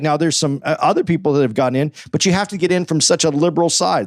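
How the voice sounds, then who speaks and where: A man with an American accent talks at a very fast pace in a fairly high pitch, his tone animated. The recording is very clean, with a silent background. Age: 50s. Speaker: podcast co-host. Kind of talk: casual chat. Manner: halting.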